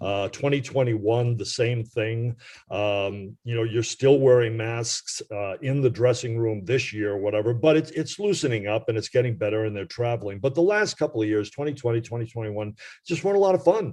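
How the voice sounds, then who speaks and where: Against a quiet background, a man with a dark, mellow tone talks at a fairly quick pace, with medium pitch and ordinary pitch variation. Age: 70s. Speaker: retired baseball radio reporter. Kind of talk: podcast interview. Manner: hesitant, many fillers.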